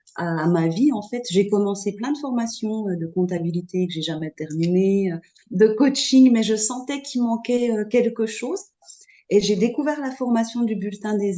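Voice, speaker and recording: This woman's dark, mellow tone comes with lively intonation and a moderate pace. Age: 40s. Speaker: astrology student. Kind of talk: testimony. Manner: halting.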